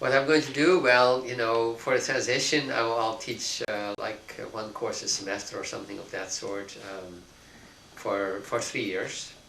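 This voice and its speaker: A man speaks at a medium pitch and a moderate pace with ordinary pitch variation and big swings in loudness. Audible room echo and noticeable background noise fill the recording. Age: 60s. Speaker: philosophy professor. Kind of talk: interview. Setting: office. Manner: halting, many fillers.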